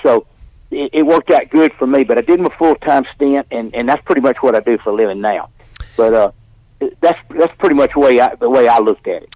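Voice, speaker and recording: Speaking in an Alabama accent, a man talks at a very fast pace. His pitch is fairly high and his intonation lively. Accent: Southern US (Alabama). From US South. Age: 70s. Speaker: professional wrestler. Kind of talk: interview. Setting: studio.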